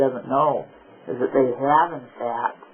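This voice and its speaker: A man's voice over noticeable background noise. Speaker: military veteran; activist. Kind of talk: conversation in a counseling session. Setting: recorded counseling session, covert audio. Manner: hesitant, anxious, rambling.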